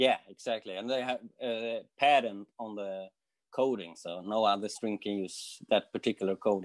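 This man's voice sits fairly low in pitch, and his intonation stays fairly even. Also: moderate pace, quiet background. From Sweden. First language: Swedish. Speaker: guitarist and guitar teacher; guitar teacher. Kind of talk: interview. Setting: video call. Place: home room. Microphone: video call.

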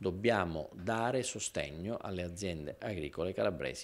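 A man's very deep, low voice with vocal fry and lively intonation. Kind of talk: interview answer. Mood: serious, reassuring. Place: office. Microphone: handheld.

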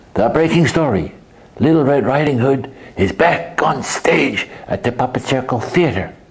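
The speaker puts on a character voice. It sits at a low-to-middle pitch at a moderate pace. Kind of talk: mock news broadcast. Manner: upbeat.

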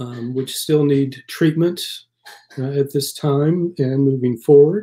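Against a quiet background, a man with a dark, mellow tone and fairly high pitch speaks at a fairly slow pace with fairly even intonation. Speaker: parish priest. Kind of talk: live-streamed noonday prayer service with a chatty opening. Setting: live stream from a church. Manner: earnest, pastoral, solemn and intoned in prayer, with mild self-deprecating humor. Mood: calm, solemn. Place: home room. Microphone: webcam.

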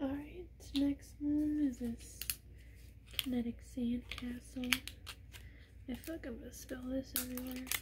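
A woman at a fairly slow pace with long, frequent pauses, over loud background noise. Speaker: ASMR creator. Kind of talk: ASMR fidget toy showcase, casual talk to camera. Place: home room. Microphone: phone near.

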